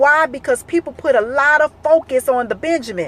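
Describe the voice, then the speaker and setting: Noticeable background noise sits behind a dry, close sound with no echo as the speaker goes at a moderate pace. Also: woman. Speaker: speaker addressing a live audience.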